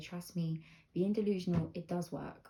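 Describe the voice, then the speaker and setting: Somewhat breathy and dark, mellow in tone, a woman speaks at a fairly low pitch. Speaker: lifestyle vlogger and manifestation coach. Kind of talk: casual vlog advice monologue. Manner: hushed, soft; casual, filler-heavy.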